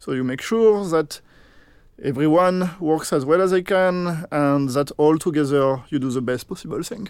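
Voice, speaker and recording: A fairly high male voice with a French accent at a moderate pace, ordinary pitch variation, and a very clean recording over a silent background. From France. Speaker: game producer. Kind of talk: interview.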